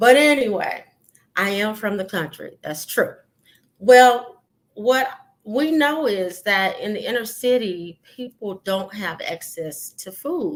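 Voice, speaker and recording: A woman with a slight Southern US accent speaks at a very slow pace and fairly high pitch. Her intonation is lively, and her loudness swings widely. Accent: slight rural Southern. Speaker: podcast host. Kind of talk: solo podcast talk. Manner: hesitant, many fillers.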